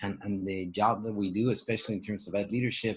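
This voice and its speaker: The man's voice is somewhat breathy. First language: not English. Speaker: education professor. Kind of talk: panel discussion. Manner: halting, many repeated words.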